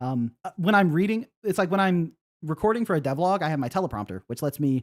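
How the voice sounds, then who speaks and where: The speaker moves at a fairly quick pace with lively intonation. The recording is very clean, dry and close, with no echo and a silent background. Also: man. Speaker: indie game developer and streamer. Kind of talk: casual live stream chat. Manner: fast.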